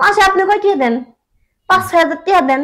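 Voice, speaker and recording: A woman puts on a squeaky character voice at an extremely high pitch. Her intonation is lively, her pace fairly quick and her loudness very even. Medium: comedy sketch. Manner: cheeky, complaining.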